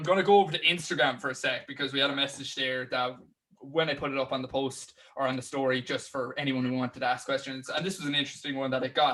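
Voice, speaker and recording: A Cork accent at a very fast pace with fairly even intonation. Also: man, fairly high pitch for a man. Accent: Cork Irish. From Ireland, Cork. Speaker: podcast host. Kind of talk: interview.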